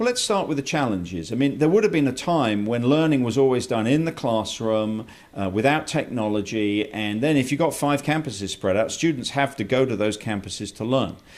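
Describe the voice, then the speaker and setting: Lively in intonation, a man with a medium-pitched voice talks at a fairly quick pace with hardly any pauses. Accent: British. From England. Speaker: college president. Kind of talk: interview.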